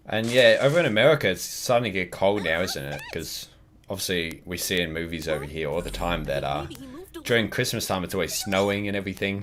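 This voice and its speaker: Noticeable background noise sits behind a man whose fairly low voice moves at a fairly quick pace with lively intonation. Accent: Australian. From Australia. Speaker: gaming streamer. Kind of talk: live stream chat while gaming. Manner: casual, hesitant with fillers.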